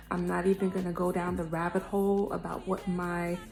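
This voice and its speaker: A woman speaks quietly at a fairly low pitch and a moderate pace. Music sounds in the background. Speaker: singer vlogging about her music. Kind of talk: casual vlog story time. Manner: talking quietly.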